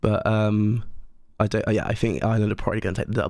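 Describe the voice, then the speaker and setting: A man's fairly low voice in a West Country accent. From Cornwall, England. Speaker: podcast co-host. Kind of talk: casual chat. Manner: animated.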